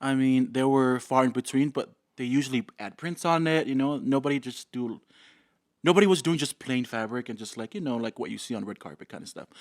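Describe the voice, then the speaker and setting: A man with a Samoan accent at a medium pitch, fairly quick pace and ordinary pitch variation, big swings in loudness, on a very clean, dry, close recording with no echo and a silent background. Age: 30s. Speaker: fashion designer. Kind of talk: casual interview chat.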